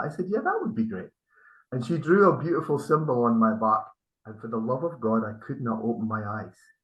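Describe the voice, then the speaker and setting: A man speaks in a Scottish accent at a fairly quick pace. His voice is somewhat breathy, with lively intonation. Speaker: spiritual healer. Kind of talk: interview. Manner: halting.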